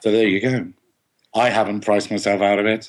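With an English accent, a man talks at a fairly quick pace in a fairly low pitch and fairly even intonation. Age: 40s. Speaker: TV and novel writer. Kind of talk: casual chat.

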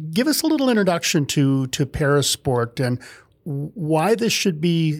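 A man with a plain, everyday voice, fairly high-pitched, lively intonation and a moderate pace, on a very clean recording with a silent background. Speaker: podcast host. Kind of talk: podcast intro and interview.

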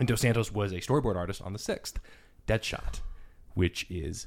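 The voice belongs to a man. Everything is very clean, and the background is silent. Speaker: podcast producer. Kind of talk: casual chat.

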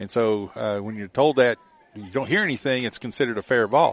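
Over noticeable background noise, a man speaks in a relaxed tone with fairly even intonation, the sound dry and close with no echo. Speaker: color commentator and coach. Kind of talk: live sports commentary, analysis. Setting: outdoors at ballpark. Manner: relaxed, conversational, analytical.

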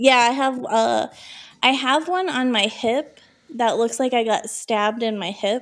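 A woman with an American accent, high-pitched, fairly slow, with ordinary pitch variation. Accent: Minnesota accent, stronger when drinking. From Minnesota. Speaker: podcast co-host. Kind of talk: casual chat.

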